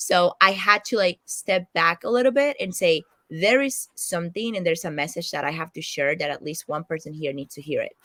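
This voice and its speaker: A woman with a fairly low pitch and a bright, sharp tone speaks at a fairly quick pace, recorded with a dry, close sound and no echo. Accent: Spanish. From Latin America, Spanish-speaking country. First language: Spanish. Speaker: financial analyst and content creator. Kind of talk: interview.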